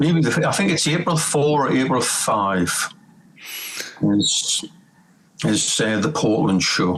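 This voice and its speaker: With a Geordie accent, a man speaks at a very slow pace with long, frequent pauses and very wide pitch swings around a medium pitch. His loudness stays very even over noticeable background noise. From northern England, Newcastle. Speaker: rock bassist and singer. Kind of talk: casual chat.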